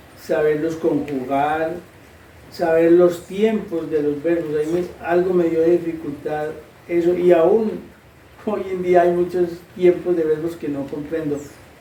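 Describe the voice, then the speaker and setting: A man's high-pitched voice at a fairly slow pace, fairly even intonation, audible room echo and noticeable background noise. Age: 60s. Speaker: interviewee. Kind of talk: interview answers.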